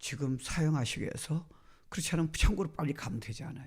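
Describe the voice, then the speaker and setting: A man speaks in a fairly high, somewhat breathy voice with a dark, mellow tone. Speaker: guest pastor. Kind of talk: sermon.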